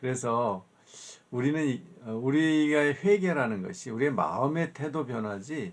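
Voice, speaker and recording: At a fairly slow pace, a man speaks in a plain, everyday voice. His pitch is fairly high and his intonation lively. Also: very clean recording, silent background. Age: 60s. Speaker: professor. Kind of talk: lecture. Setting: recorded video lecture. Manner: conversational, with fillers.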